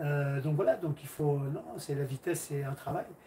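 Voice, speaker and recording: Noticeable background noise runs under a man's fairly high voice. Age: 60s. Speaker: karate teacher. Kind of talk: livestream Q&A chat. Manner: halting.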